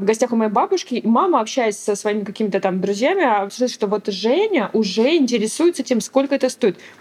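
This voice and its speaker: In a normal speaking voice, a woman with a fairly high pitch talks at a fairly quick pace with lively intonation, very even loudness and hardly any pauses. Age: 30s. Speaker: mother of three. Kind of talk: casual interview.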